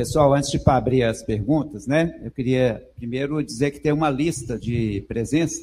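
This man's voice sits at a medium pitch with a dark, mellow tone and some breathiness. He talks at a moderate pace with ordinary pitch variation. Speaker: university professor, event moderator. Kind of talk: event introduction. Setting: stage with audience. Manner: halting.

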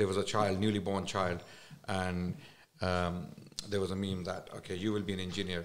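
A very deep, low-pitched man's voice with a Pakistani accent at a fairly quick pace. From Islamabad, Pakistan. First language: Urdu. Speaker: Islamic scholar and speaker. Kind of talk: casual podcast interview.

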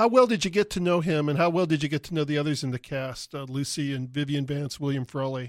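A man talks very fast, with hardly any pauses and a fairly high pitch. His pitch varies an ordinary amount, and the very clean recording is dry and close, with a silent background and no echo. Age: 50s. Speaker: radio host. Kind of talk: interview. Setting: studio.

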